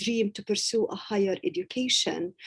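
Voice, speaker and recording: With an Arabic accent, a woman speaks at a moderate pace in a dark, mellow tone. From Gaza, Palestine. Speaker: university professor and author. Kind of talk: interview answer.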